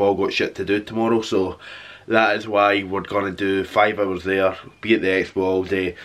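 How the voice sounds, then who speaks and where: Speaking at a fairly quick pace, a man has a fairly low pitch and an unremarkable speaking voice. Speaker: vlogger. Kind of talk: casual vlog chat. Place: home room. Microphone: phone near.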